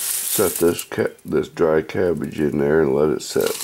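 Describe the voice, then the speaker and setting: A man's very deep, low voice at a very slow pace, with noticeable background noise. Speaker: homesteader. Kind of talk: tutorial.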